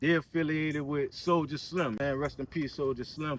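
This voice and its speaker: Speaking in a New Orleans accent is a man. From New Orleans, Louisiana. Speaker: local neighborhood guide. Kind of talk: casual interview walking tour. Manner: relaxed, filler-heavy with repetitions.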